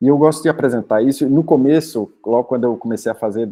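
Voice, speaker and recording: This man talks at a fairly quick pace. He has a Brazilian accent. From Brazil, Northeast (Rio Grande do Norte, Paraíba). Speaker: doctoral researcher. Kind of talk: academic lecture. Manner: halting, many fillers.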